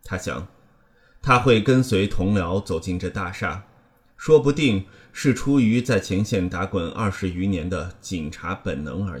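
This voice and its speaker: This man has a fairly low, somewhat breathy voice with lively intonation and a solemn tone. He talks at a fairly slow pace. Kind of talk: literary audiobook reading, third-person crime fiction narration. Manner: measured, even and solemn, with a grave, suspenseful tone; steady narrator's pace, unhurried, with little emotional colouring.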